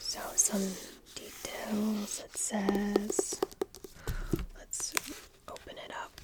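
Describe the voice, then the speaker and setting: Amid noticeable background noise, a woman whispers in a gentle tone. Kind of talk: ASMR soft spoken video. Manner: soft-spoken, gentle.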